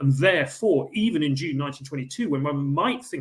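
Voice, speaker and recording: At a fairly quick pace, a man with an English accent speaks at a fairly high pitch with ordinary pitch variation. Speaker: historian. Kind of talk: lecture. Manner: hesitant, many fillers.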